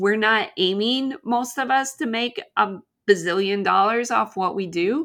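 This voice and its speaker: A woman speaks at a fairly slow pace, her pitch fairly high and its variation ordinary. It is a plain, everyday voice. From Canada. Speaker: podcast host, artist. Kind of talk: solo podcast monologue.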